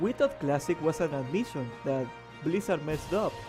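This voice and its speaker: Music plays in the background. A man speaks with very wide swings in pitch. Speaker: gaming content creator. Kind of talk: gaming commentary voiceover.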